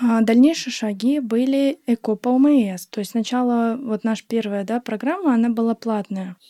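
A woman with a plain, everyday voice speaks at a fairly high pitch and moderate pace, with hardly any pauses. Her ordinary pitch variation comes through in a dry, close sound with no echo. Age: 20s. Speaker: guest sharing fertility journey. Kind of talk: casual chat.

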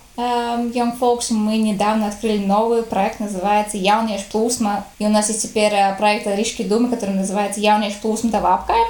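A woman's fairly high, monotone, flat voice with a slight Latvian accent, audible room echo and noticeable background noise. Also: moderate pace. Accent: slight Latvian tinge in Russian. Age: 20s. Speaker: youth organization leader. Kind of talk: casual interview. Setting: call.

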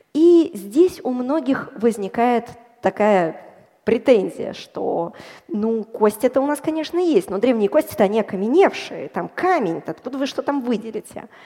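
A woman speaks at a moderate pace, her pitch swinging very widely. Background noise is noticeable. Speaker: bioinformatician and data scientist. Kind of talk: popular science talk on stage. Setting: stage with audience.

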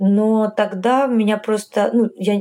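A woman's dark, mellow tone. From Tajikistan, later Kharkiv, Ukraine. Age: 40s. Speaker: LGBT rights activist. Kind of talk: interview.

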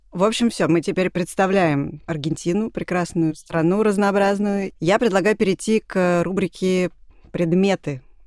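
In a very clean recording with a silent background and a dry, close sound with no echo, a woman talks fairly slowly in a normal speaking voice at medium pitch with ordinary pitch variation. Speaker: podcast host. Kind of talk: casual chat.

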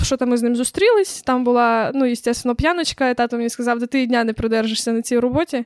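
A high-pitched woman's voice with ordinary pitch variation and a dry, close sound with no echo. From Ukraine. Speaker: podcast co-host. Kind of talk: casual chat.

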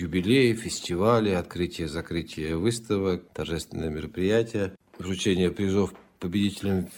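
Pitch varies in an ordinary way, and the pace is moderate. The background is silent in this very clean recording. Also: man. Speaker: podcast host and literary commentator. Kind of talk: reading and commenting on poems.

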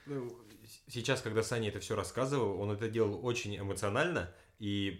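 Amid audible room echo, a man talks at a fairly quick pace with a fairly low pitch and ordinary pitch variation. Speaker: podcast host. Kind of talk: casual chat. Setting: home room recording with friend.

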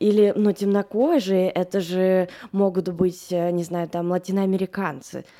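In a very clean recording with a silent background, a woman speaks at a medium pitch with ordinary pitch variation in a plain, everyday voice. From Moscow, Russia. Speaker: producer. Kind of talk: casual chat.

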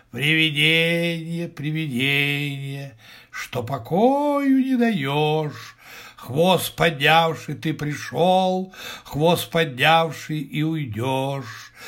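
In a put-on character voice, a man speaks at a very slow pace with few pauses, a fairly bright tone, fairly high pitch and lively intonation.

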